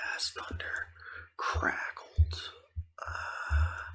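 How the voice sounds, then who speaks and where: A man whispers while noticeable background noise carries on around him. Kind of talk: ASMR gaming ramble. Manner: whispered; rambling, casual.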